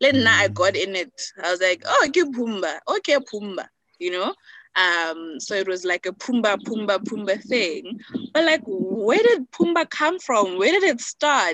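Her voice is bright and sharp, a woman's fairly high pitch swinging very widely. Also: dry, close sound with no echo. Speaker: attorney and policy researcher. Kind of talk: casual chat. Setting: outdoors.

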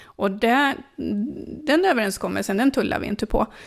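A woman's medium-pitched voice with vocal fry, ordinary pitch variation and a moderate pace, on a very clean recording with a silent background. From northern Sweden, Sollefteå. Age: 50s. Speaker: local politician. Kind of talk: interview.

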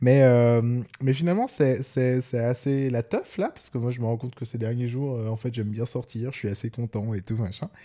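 Over a silent background in a very clean recording, a man with a dark, mellow tone speaks at a medium pitch and moderate pace with hardly any pauses. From Switzerland. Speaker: podcast co-host. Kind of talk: casual chat.

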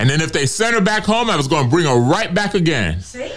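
Lively intonation at a fairly quick pace, over noticeable background noise. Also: man. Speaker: retiree activist. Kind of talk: testimony. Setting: studio.

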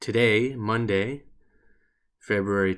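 In a Canadian accent, a man speaks at a very slow pace with a fairly low pitch and ordinary pitch variation, on a very clean recording with a silent background. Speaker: podcast host. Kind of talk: weekly local weather report, day-by-day temperatures and rain chances. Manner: casual and chatty, sprinkling friendly asides between forecast numbers; halting, frequent uh fillers and repeated phrases.

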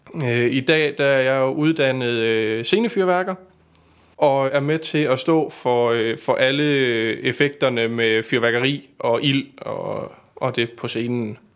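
A very slow delivery, captured in a very clean recording against a silent background. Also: man, medium pitch for a man, ordinary pitch variation. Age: 20s. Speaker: stage pyrotechnician. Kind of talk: casual interview.

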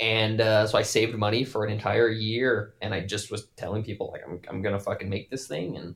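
A somewhat breathy man with an American accent, fairly low in pitch, fairly even in intonation, at a fairly quick pace with hardly any pauses, on a very clean recording with a silent background. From Wyoming, US. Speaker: film director. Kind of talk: casual chat. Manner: halting, many repeated words.

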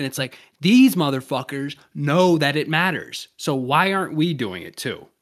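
Fairly high-pitched male speech at a moderate pace, a plain, everyday voice with lively intonation. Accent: American. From US South. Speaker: podcast host. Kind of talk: casual chat.

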